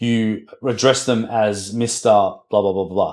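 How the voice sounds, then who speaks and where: On a very clean recording with a silent background, a man speaks at a medium pitch with a dark, mellow tone. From Australia (Melbourne). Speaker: podcast host. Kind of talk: casual interview chat. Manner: animated.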